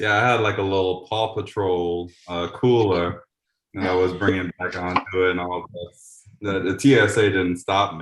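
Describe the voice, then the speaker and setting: A man's very deep, low voice at a moderate pace, with fairly even intonation and a quiet background. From New Orleans, Louisiana. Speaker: community radio host. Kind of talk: casual chat.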